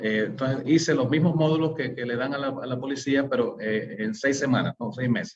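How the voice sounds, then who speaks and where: Speaking at a fairly quick pace with hardly any pauses, a man holds a medium pitch and ordinary pitch variation. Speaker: webinar presenter, community leader. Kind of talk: webinar presentation. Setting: online webinar. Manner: halting, many fillers and self-corrections.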